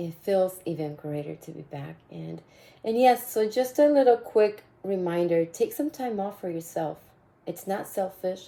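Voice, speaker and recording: A woman speaks fairly slowly in a dark, mellow tone. Her fairly low pitch carries lively intonation. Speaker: podcast host and fitness coach. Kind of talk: casual monologue.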